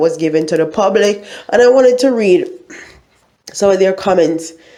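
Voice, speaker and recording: Her pitch varies in an ordinary way. The woman's voice carries audible room echo. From Jamaica. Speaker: YouTuber. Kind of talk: news commentary vlog.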